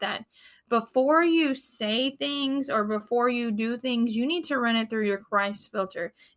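A woman's animated, bright, sharp voice, fairly high in pitch with ordinary pitch variation, at a moderate pace in a very clean recording with a silent background. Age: 30s. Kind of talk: devotional talk.

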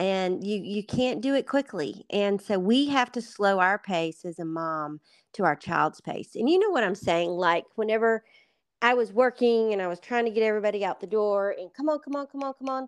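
Against a quiet background with a dry, close sound and no echo, a woman with an American accent uses a plain, everyday voice at a medium pitch, moderate pace and lively intonation. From US South, Atlanta. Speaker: author and ministry leader. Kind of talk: interview. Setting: call.

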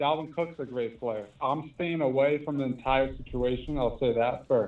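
Using an unremarkable speaking voice, a man with an American accent keeps a moderate pace and ordinary pitch variation. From US South, Louisiana. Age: 20s. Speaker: live stream caller. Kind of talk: casual chat.

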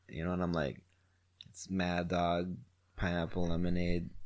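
A fairly slow pace in an American accent. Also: man. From Wisconsin. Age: 30s. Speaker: podcast host. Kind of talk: casual chat.

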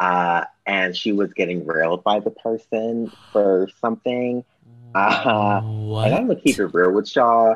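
At a moderate pace, a man in an American accent speaks in an ordinary speaking voice, fairly low in pitch with fairly even intonation. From Los Angeles. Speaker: podcast guest. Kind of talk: casual chat.

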